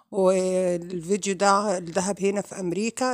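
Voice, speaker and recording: A woman with an Egyptian accent speaks at a fairly slow pace. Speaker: vlogger. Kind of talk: vlog intro.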